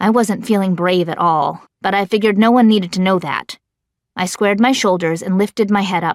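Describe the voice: Plain reading aloud plays over a quiet background.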